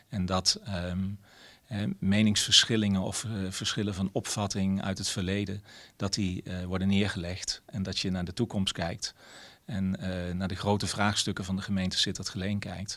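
A man speaks at a fairly low pitch over a quiet background. His intonation is monotone and flat. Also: moderate pace. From Netherlands, several provinces. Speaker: mayor. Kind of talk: interview. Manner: hesitant, many filler sounds. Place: office. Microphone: handheld.

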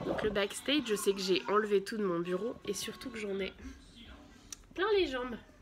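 A woman speaks while noticeable background noise is present. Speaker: vlogger and mother; mother vlogger. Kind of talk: casual vlog haul. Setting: at home. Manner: chatty, hesitant with many euh. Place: home room. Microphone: phone near.

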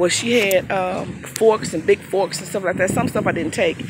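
Moderate pace over loud background noise, with a dry, echo-free sound. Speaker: dumpster diver vlogger. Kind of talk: casual vlog chat. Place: street. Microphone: phone near.

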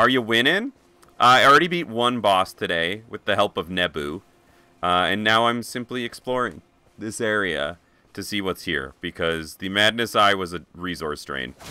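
Dry with no echo, a man's fairly low-pitched voice has a bright, sharp tone and lively intonation. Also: moderate pace. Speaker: video game streamer. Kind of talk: live gaming stream chat. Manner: animated. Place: home room. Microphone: studio mic.

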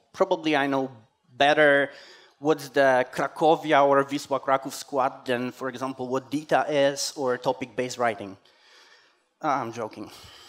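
A man keeps a moderate pace and a fairly even intonation. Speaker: conference speaker. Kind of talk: conference talk. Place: hall.

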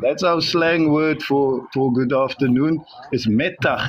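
Light background noise sits behind a man whose pitch varies in an ordinary way. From South Africa. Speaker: guest. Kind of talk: interview. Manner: hesitant, many fillers. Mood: warm, smiling. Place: car. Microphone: video call.

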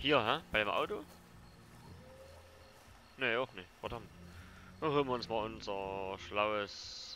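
A man with a Saxon accent speaks at a very slow pace, leaving long, frequent pauses. His tone is bright and sharp, at medium pitch with ordinary pitch variation. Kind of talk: casual gameplay commentary.

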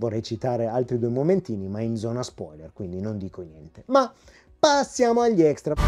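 A man talks at a medium pitch and a fairly quick pace, with lively intonation and an animated tone. His loudness swings widely, and music plays in the background. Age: 40s. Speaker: YouTube film and home video reviewer. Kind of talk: video review monologue.

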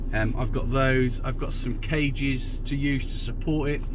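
Against noticeable background noise, a man speaks with monotone, flat intonation in a dry sound with no echo. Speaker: photographer vlogger. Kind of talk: casual vlog chat. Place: car. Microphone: phone near.

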